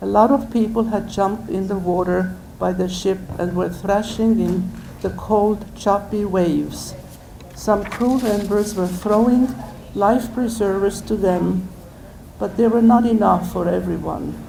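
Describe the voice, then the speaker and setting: A woman's fairly even intonation comes through over noticeable background noise. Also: medium pitch for a woman, fairly slow pace. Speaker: senior citizen memoir writer reading own work aloud. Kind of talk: memoir reading.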